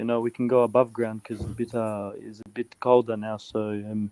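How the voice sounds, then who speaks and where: Using a dark, mellow tone at medium pitch, a man talks at a fairly quick pace with monotone, flat intonation, the sound dry and close with no echo. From Czech Republic. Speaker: football fan guest. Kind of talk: casual chat. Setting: studio.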